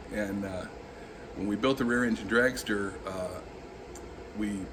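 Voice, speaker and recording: Amid noticeable background noise and audible room echo, a man with an American accent and a fairly low pitch speaks at a moderate pace with fairly even intonation. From Southern California. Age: 50s. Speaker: auto body restorer. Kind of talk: interview monologue. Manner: halting, with frequent fillers.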